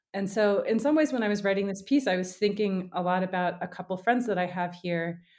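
A woman at medium pitch with ordinary pitch variation, fairly quick and with hardly any pauses. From US South. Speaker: journalist and author. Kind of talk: interview. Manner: halting, many fillers and restarts.

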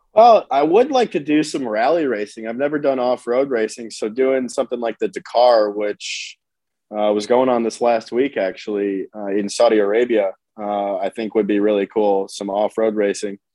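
A man with a plain, everyday voice and an American accent speaks at medium pitch and a moderate pace, with ordinary pitch variation. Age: 20s. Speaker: professional race car driver. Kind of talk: casual interview.

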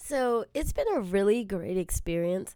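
Her tone dark and mellow, a woman speaks at a moderate pace. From Southern California, South Bay area. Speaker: assistant principal. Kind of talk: interview.

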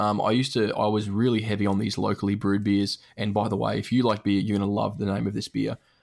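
A man's fairly low voice, monotone and flat, at a very fast pace. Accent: Australian. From Australia, Brisbane. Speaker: gaming podcaster. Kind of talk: casual chat.

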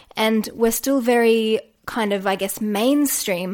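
A woman speaks in an Australian accent at a fairly high pitch. Her pitch varies in an ordinary way. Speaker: podcast host and yoga teacher. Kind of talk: solo podcast monologue.

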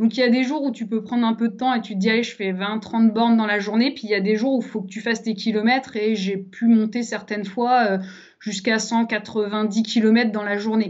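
Speaking at a fairly quick pace, a woman uses a fairly high pitch and monotone, flat intonation. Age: 30s. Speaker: traveller. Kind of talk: casual interview. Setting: studio.

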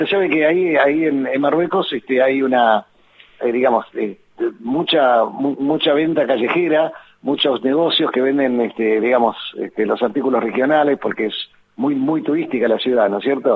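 At a moderate pace, a man talks with ordinary pitch variation and very even loudness amid noticeable background noise. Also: medium pitch for a man. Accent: Argentine. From Argentina. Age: 70s. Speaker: infectious disease doctor. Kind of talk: interview.

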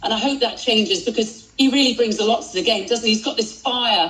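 Noticeable background noise under a woman's fairly quick speech in a British accent, fairly high-pitched with ordinary pitch variation. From Britain. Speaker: tennis commentator and journalist.

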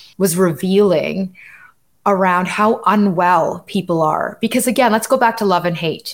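On a very clean recording with a silent background, a woman with a Canadian accent talks at a moderate pace, her medium pitch showing ordinary variation. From Canada. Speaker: diversity and inclusion consultant. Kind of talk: interview. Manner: animated.

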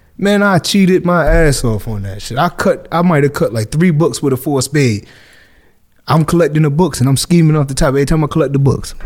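With a Northeastern US accent, a man speaks fairly quickly at a fairly high pitch, his intonation lively and his voice somewhat breathy. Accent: urban Northeast US. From Hartford, Connecticut. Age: 30s. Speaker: barber and former prisoner. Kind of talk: casual interview.

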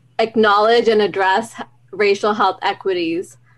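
Here is an unremarkable speaking voice from a woman at medium pitch. She keeps a moderate pace and fairly even intonation. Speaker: university student. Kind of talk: podcast interview.

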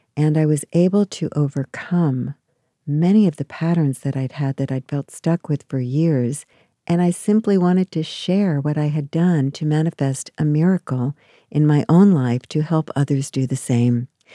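Her voice is very deep and low, with a dark, mellow tone and ordinary pitch variation at a moderate pace. The recording is very clean with a silent background, and the sound is dry and close with no echo. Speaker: marriage and family therapist. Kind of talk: author interview monologue.

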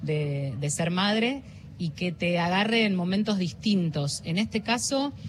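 A somewhat breathy woman's voice at medium pitch, with lively intonation and a fairly slow pace. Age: 40s. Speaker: journalist and news presenter. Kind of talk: interview. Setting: radio booth at a book fair.

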